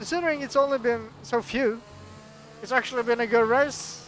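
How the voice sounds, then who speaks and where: The speaker talks in a Norwegian accent at a moderate pace. Noticeable background noise runs underneath. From Norway. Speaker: sim racing commentator. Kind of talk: live commentary. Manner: animated.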